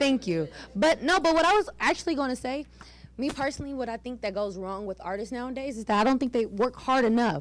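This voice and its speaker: A loud woman's voice, high in pitch, at a very fast pace. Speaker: audience member asking a question. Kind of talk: question at a public pitch event.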